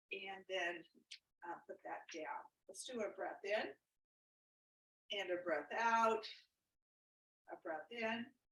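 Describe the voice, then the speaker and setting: A woman at a very slow pace, with long, frequent pauses, big swings in loudness and ordinary pitch variation. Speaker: exercise instructor. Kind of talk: exercise class instruction. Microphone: too quiet for some participants' speakers.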